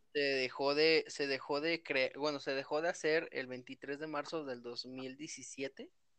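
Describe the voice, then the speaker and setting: A man speaks in a monotone with flat intonation and a fairly high pitch for a man. His pace is very slow, with hardly any pauses, and he has a Mexican accent. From Mexico. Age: 20s. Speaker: video game fan. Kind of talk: casual chat.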